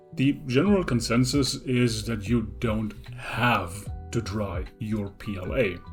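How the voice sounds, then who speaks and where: Music plays in the background as a man with a non-native accent speaks fairly slowly, with ordinary pitch variation. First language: not English. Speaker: 3D printing hobbyist. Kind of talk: tutorial narration.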